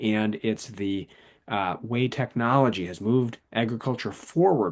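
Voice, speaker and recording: A man with an Upper Midwest accent speaks at a medium pitch. His pitch varies in an ordinary way, and the background is quiet. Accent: Upper Midwest American. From southern Wisconsin. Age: 40s. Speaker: author. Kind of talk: interview.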